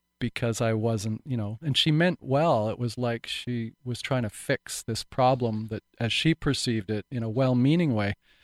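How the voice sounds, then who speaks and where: A man with a normal speaking voice talks at a moderate pace and medium pitch, with hardly any pauses. The sound is dry and close with no echo, on a very clean recording with a silent background. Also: ordinary pitch variation. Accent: Canadian. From Vancouver Island, British Columbia, Canada. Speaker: actor. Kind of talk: interview.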